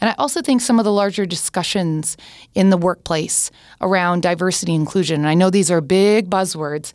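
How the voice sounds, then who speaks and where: The recording is very clean with a silent background, capturing a woman at a medium pitch with a plain, everyday voice. She talks at a fairly quick pace with lively intonation. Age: 40s. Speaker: tech and social media executive. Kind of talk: podcast interview.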